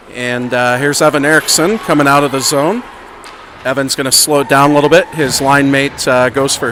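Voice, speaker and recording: A man with an American accent speaks at a fairly quick pace and a fairly high pitch. His intonation is fairly even, and there is noticeable background noise. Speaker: amateur youth hockey commentator. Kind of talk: live commentary. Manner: loud. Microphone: volume adjusted mid-stream, was too quiet.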